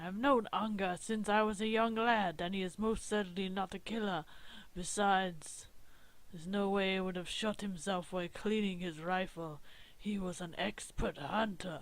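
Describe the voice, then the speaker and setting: This is a loud, put-on character voice at a middle pitch and moderate pace. The recording is very clean with a silent background. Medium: game stream. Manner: loud, blustering.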